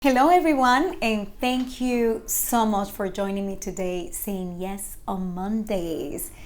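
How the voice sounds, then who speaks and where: At a fairly slow pace, a woman speaks at medium pitch with ordinary pitch variation, and audible room echo is heard. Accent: Spanish. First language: Spanish. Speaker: faith-based motivational vlogger. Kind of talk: inspirational talk to camera. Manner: halting, with frequent fillers.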